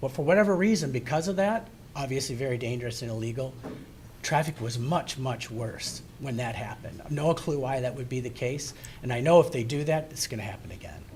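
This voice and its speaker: A man's medium-pitched, somewhat breathy voice at a fairly quick pace, with ordinary pitch variation and audible room echo. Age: 60s. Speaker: resident speaking at public comment. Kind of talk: public comment at township meeting. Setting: township hall meeting.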